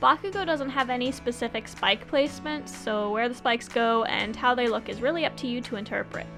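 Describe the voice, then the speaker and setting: Speech moves at a fairly quick pace with ordinary pitch variation. Music plays in the background. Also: woman. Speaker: cosplay wig stylist. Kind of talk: tutorial narration.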